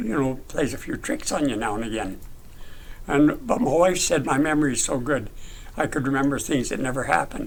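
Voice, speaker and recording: Lively intonation at a fairly quick pace, against noticeable background noise. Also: man, fairly high pitch for a man. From British Columbia, Canada. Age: 80s+. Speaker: retired logger and author. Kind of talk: interview answer.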